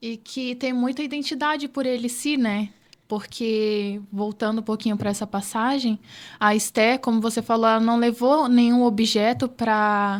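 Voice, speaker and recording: A woman with an unremarkable speaking voice talks at a fairly high pitch with fairly even intonation, in a very clean recording with a silent background. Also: fairly slow pace. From Rondônia, Brazil. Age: 20s. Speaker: entrepreneur, podcast guest. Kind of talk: interview.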